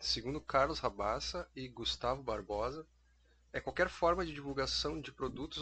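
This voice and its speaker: Someone with a Rio Grande do Sul accent speaks at a moderate pace against a quiet background. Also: man. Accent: southern Brazilian gaúcho Portuguese. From Uruguaiana, Rio Grande do Sul, Brazil. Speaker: podcaster, advertising professional. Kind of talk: casual monologue.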